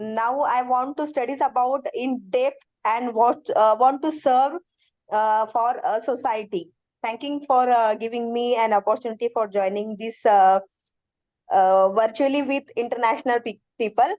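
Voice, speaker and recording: A woman with an Indian accent speaks at a fairly slow pace, her pitch high with ordinary variation. The background is quiet. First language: Indian language, not English. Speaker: education lecturer, course participant. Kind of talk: self-introduction in online class. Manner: halting with many fillers.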